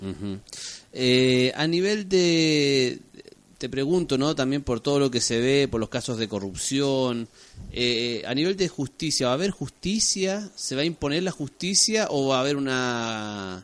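In a plain, everyday voice, a man talks at a fairly slow pace with fairly high pitch and lively intonation against a quiet background. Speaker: radio host. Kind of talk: casual radio interview.

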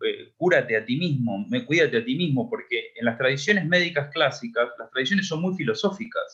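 A man with an Argentine accent talks with very wide pitch swings. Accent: Argentine Spanish (Rioplatense). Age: 30s. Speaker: psychotherapist. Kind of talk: interview.

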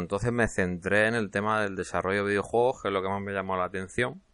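A very fast, bright, sharp voice with fairly even intonation and a slight Murcian accent over a quiet background. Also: man. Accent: slight Murcian (Cartagena). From Spain, Cartagena (Murcia). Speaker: podcast host, hobby game developer. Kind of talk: casual solo podcast monologue. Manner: hesitant, with frequent repetitions.

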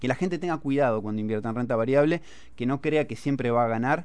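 Talking at a very fast pace, this man has a medium pitch. His pitch varies in an ordinary way. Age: 30s. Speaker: financial analyst. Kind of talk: casual chat.

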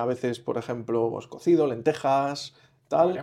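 A man's dark, mellow tone. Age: 40s. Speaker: patient seeking nutrition advice. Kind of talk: consultation. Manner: halting.

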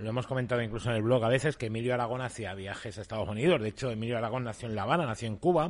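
Here a man speaks at a medium pitch. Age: 40s. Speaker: podcast host. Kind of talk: casual commentary.

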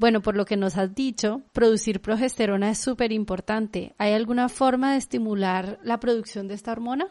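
At a moderate pace with fairly even intonation and hardly any pauses, a woman speaks in a normal speaking voice. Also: fairly high pitch for a woman. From Guadalajara, Mexico. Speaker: podcast host. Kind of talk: interview.

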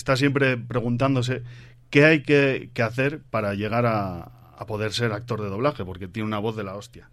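Audible room echo surrounds a man's voice. His pitch is medium and his intonation fairly even. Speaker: podcast host. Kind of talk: live on-stage interview. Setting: stage with audience.

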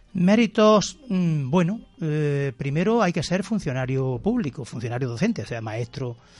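Music plays behind a man who speaks fairly slowly with very wide pitch swings. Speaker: school principal. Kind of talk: radio interview. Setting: radio studio.

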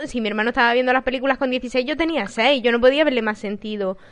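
With noticeable background noise, a woman speaks at a very fast pace in a high pitch. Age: 20s. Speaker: podcast co-host. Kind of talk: casual chat.

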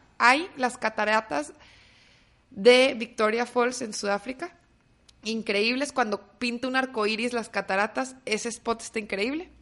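A plain, everyday voice from a woman, fairly high in pitch with ordinary pitch variation and a fairly slow pace. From Mexico, Torreón (Coahuila). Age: 30s. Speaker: entrepreneur, startup founder. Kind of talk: casual interview.

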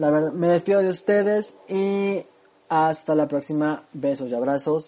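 With noticeable background noise behind him, a man talks in a fairly high pitch and ordinary pitch variation. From Chiapas, Mexico. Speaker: food segment presenter. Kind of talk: scripted narration.

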